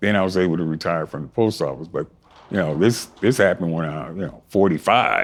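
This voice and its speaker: A man's very deep, low voice with vocal fry, on a very clean recording with a silent background. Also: ordinary pitch variation, fairly quick pace. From US West Coast, Compton, California. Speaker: strength athlete and motivational speaker. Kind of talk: interview. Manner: animated.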